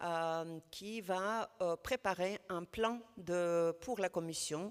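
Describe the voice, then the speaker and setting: A woman with a non-native accent speaks at a fairly low pitch with ordinary pitch variation. The recording is very clean, with a silent background. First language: not French (speaking French). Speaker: housing network representative. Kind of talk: panel discussion. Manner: halting, many hesitations.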